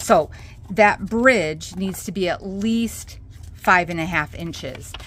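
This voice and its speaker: With a Minnesotan accent, a woman speaks at a very slow pace and medium pitch, her pitch varying in an ordinary way while her loudness swings widely. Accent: Minnesota. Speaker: craft tutorial host. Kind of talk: tutorial. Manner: casual, chatty with fillers.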